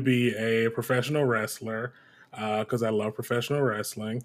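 Fairly even intonation marks this moderately paced speech in an American accent. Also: man. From US Midwest, Detroit, Michigan. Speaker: TV head writer and voice actor. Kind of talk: interview.

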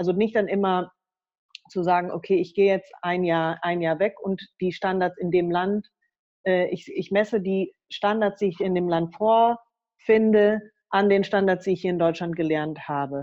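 A normal speaking voice from a woman at medium pitch, fairly slow and fairly even in intonation. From Germany. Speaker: political education worker and author. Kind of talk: interview.

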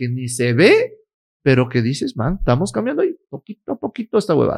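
The voice is somewhat breathy and races along at a very fast pace. The sound is dry and close, with no echo. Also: man. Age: 30s. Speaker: lawyer, influencer and entrepreneur. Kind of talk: casual interview. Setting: his office.

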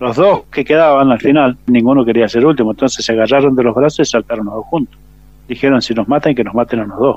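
Talking at a very fast pace, a man with a medium pitch shows ordinary pitch variation. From Argentina, San Rafael, Mendoza. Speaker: war veteran. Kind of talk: testimony. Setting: phone call.

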